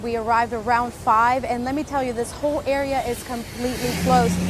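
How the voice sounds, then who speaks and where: A woman talks at a fairly quick pace in a high voice. Noticeable background noise sits behind her. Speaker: TV news reporter. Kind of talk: live TV news report.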